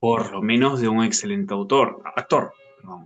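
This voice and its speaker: A man with a Peruvian accent speaks at a medium pitch. His intonation is lively and his pace fairly slow. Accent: Peruvian Spanish (Lima). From Peru, Lima. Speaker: book club member. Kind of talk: book club discussion.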